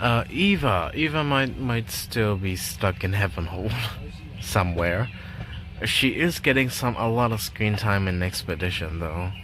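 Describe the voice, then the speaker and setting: Audible room echo follows a man whose fairly low voice carries lively intonation. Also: fairly slow pace. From Chinese background. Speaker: gaming streamer. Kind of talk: casual chat. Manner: hesitant, many fillers. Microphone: built-in laptop mic.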